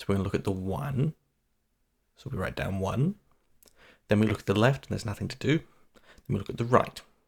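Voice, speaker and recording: A soft-spoken, somewhat breathy man at a very fast pace, fairly low in pitch, with lively intonation, big swings in loudness and long, frequent pauses. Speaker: coding tutor. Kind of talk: tutorial. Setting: home, early morning.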